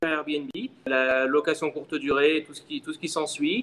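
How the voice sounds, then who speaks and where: Fairly high male speech, its pitch varying in an ordinary way. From France, Lyon. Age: 30s. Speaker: short-term rental entrepreneur. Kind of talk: interview.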